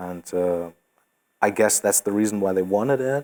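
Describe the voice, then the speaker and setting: A man with a German accent and a very deep, low pitch at a fairly slow pace, in a very clean, dry, close recording with a silent background and no echo. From Germany. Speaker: metal band singer. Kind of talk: casual interview. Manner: hesitant, many fillers.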